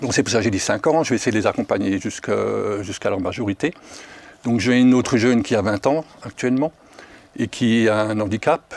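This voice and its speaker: A man talks at a fairly quick pace and medium pitch with ordinary pitch variation and long, frequent pauses, in a dry, close sound with no echo and noticeable background noise. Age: 60s. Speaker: foster parent. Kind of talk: casual chat.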